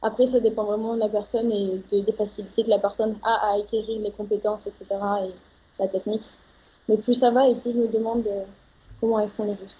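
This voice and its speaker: A woman with a fairly high pitch and a somewhat breathy voice speaks fairly quickly in a monotone, flat way, with long, frequent pauses. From France, Médoc. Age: 20s. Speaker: roller freestyle athlete. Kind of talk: interview.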